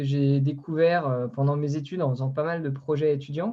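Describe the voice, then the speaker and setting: This man speaks at a fairly high pitch with fairly even intonation. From Brittany, France (Concarneau). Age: 20s. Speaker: ocean project founder, engineer and former merchant navy officer. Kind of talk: online interview talk. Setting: online video conference. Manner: halting, many fillers.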